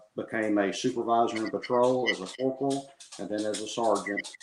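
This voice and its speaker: Talking at a moderate pace, a man uses a Southern US accent. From southwest Arkansas (Texarkana). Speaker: sheriff candidate, deputy sheriff. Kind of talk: interview. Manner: hesitant, many fillers.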